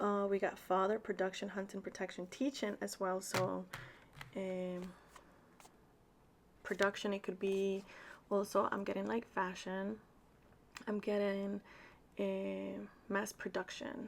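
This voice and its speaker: With a Spanish accent, a woman speaks at a fairly slow pace in a flat, monotone way, leaving long, frequent pauses. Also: medium pitch for a woman. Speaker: tarot reader. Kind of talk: tarot reading. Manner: casual, chatty with fillers.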